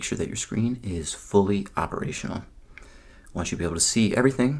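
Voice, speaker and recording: A man speaks softly in a calm tone. His intonation is lively. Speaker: ASMR creator doing a roleplay. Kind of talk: ASMR roleplay as a screen technician, soft-spoken address to the viewer. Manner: soft-spoken, calm.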